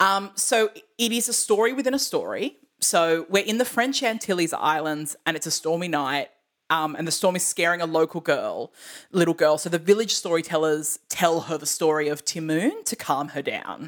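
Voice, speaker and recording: In an unremarkable speaking voice, a woman with a fairly low pitch talks at a moderate pace with lively intonation, on a very clean recording with a silent background. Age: 30s. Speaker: podcast host, musical theatre enthusiast. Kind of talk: casual chat.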